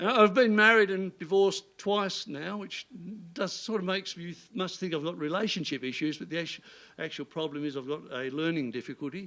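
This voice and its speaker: On a very clean recording with a silent background, a man talks at a fairly quick pace in a high pitch with a bright, sharp tone. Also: lively intonation. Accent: Australian. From Tasmania, northwest coast. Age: 70s. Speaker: comedian. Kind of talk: stand-up. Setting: stage with audience.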